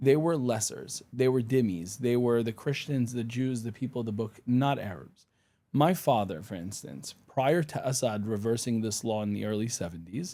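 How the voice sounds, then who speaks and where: A man speaks with a dark, mellow tone. His pitch is medium and his pace moderate. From Syria, Damascus. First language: Arabic. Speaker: attorney and pro-Israel advocate. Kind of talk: podcast interview.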